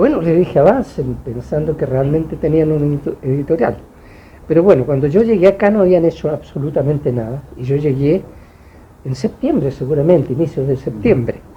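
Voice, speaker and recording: The man's voice is somewhat breathy and fairly high in pitch. He speaks at a fairly quick pace. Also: ordinary pitch variation. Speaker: author. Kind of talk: book launch talk. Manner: halting.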